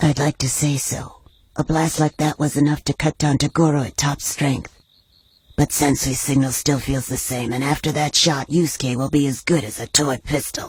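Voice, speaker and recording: In a cartoonish character voice, a man speaks at a fairly high pitch. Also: moderate pace. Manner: serious, measured.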